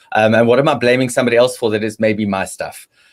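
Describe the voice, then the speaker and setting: This man's voice sits at a medium pitch as he races along at a very fast pace. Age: 50s. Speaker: relationship panelist. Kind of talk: panel discussion. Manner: halting, many fillers and repetitions.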